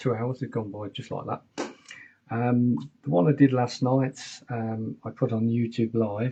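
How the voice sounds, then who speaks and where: A man's medium-pitched, somewhat breathy voice, moderate pace and fairly even intonation. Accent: English. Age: 60s. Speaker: keyboard player and mobile DJ. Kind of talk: casual chat. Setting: home studio live stream. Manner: casual, hesitant with fillers.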